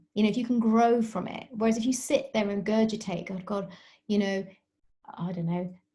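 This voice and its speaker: Her voice somewhat breathy, dark and mellow, a woman with a British accent speaks fairly quickly at a fairly high pitch. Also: fairly even intonation. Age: 40s. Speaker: dietitian and sports nutritionist. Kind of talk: podcast interview.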